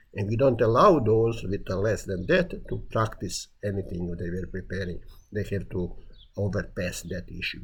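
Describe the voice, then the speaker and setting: A man talks at a moderate pace in a fairly low pitch, somewhat breathy. His intonation is lively. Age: 70s. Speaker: retired building inspector giving a talk. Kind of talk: self-recorded monologue presentation.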